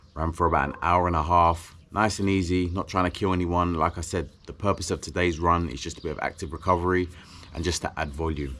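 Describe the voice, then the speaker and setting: Very deep and low in pitch, a man with a British accent speaks at a fairly quick pace in a bright, sharp tone with fairly even intonation. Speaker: endurance athlete vlogger. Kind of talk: vlog monologue. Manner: casual.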